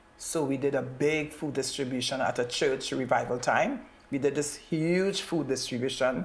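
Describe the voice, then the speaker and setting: A woman speaks at a moderate pace with a very deep, low pitch and ordinary pitch variation. Audible room echo surrounds her voice. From Trinidad. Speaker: community advocate. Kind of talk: interview.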